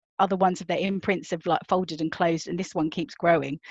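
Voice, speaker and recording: Recorded with a dry, close sound, no echo and a quiet background, a woman with a British accent speaks at a fairly low pitch. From Britain. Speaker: novelist. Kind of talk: conference talk. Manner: conversational.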